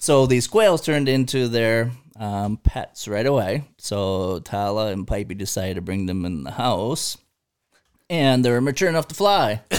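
A man with an American accent speaks at medium pitch and a moderate pace, his intonation lively. He has a plain, everyday voice on a very clean recording with a silent background. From Michigan. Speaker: hunter and sports official. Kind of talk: casual chat.

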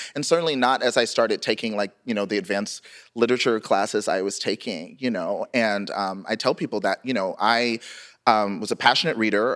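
A man speaks at a fairly quick pace in a plain, everyday voice, medium in pitch with ordinary pitch variation. The recording is very clean and dry, close with no echo, over a silent background. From US South. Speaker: writer, memoirist. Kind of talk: live interview. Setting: stage with audience.

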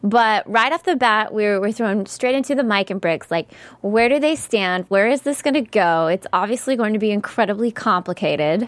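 Speaking in a normal speaking voice with an American accent, a woman at fairly high pitch keeps a moderate pace with lively intonation and hardly any pauses. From US South. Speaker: TV after-show host. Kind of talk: casual chat. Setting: studio.

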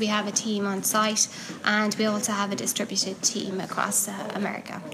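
Talking at a fairly quick pace with a Cork accent, a woman with a fairly high pitch is heard over noticeable background noise and audible room echo. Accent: Cork Irish. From Ireland, Cork. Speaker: technical writer and meetup organiser. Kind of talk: interview. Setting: at a conference.

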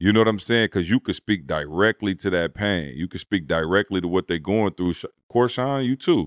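A man speaks fairly quickly with lively intonation and hardly any pauses. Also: fairly low pitch for a man. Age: 40s. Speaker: podcast host. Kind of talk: casual chat.

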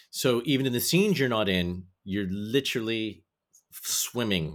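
This man has an unremarkable speaking voice with an American accent, fairly low pitch and lively intonation, recorded very cleanly against a silent background. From United States. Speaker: podcast host. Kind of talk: scripted introduction; casual interview.

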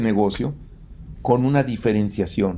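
A man is talking here. The tone of his voice is dark and mellow. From Mexico. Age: 70s. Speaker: engineer and entrepreneur. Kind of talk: interview.

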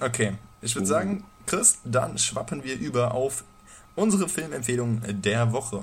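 Lively intonation marks this man's speech. His pitch sits at a medium level. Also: moderate pace. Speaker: podcast co-host. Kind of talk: casual chat. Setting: home recording at night. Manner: quiet.

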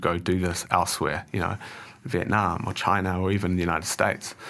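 Very deep and low, this man's voice has a bright, sharp tone and monotone, flat intonation at a fairly quick pace. The recording is very clean, with a silent background. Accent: New Zealand. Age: 30s. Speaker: managing director. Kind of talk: interview.

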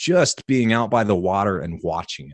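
With a dry, close sound, no echo and a quiet background, a man speaks with lively intonation. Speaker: health podcaster and author. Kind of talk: casual interview.

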